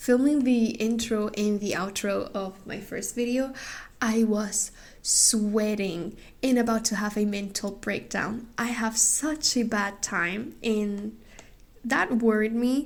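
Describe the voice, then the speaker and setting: Very slow speech from a woman with a non-native accent, fairly high-pitched, with fairly even intonation. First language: not English. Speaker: craft youtuber. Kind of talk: casual vlog talk to camera.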